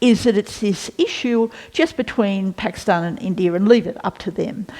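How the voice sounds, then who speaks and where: Lively intonation marks this voice with an Australian accent. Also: woman. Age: 60s. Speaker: former senator. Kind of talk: interview. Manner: halting.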